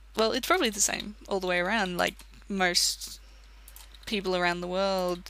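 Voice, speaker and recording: Spoken with an Australian accent at a moderate pace, the speech has long, frequent pauses on a very clean recording with a silent background. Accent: Australian, self-described. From Australia, country town. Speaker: gaming commentator. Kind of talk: let's play commentary. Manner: rambling casual talk.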